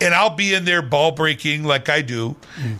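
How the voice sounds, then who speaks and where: Noticeable background noise around male speech with ordinary pitch variation. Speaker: entertainer. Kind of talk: casual chat. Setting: studio.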